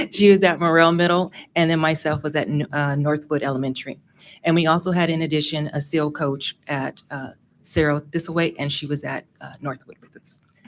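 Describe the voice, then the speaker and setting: A woman's very deep, low voice at a fairly quick pace, fairly even in intonation, with big swings in loudness. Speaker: school principal. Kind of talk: presentation at a public board meeting. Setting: school board meeting room. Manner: projected teacher voice. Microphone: no microphone.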